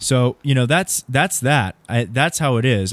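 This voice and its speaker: A man speaks in a Californian accent with ordinary pitch variation. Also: dry, close sound with no echo. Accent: Californian American. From Southern California. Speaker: political podcast host. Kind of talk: casual political talk.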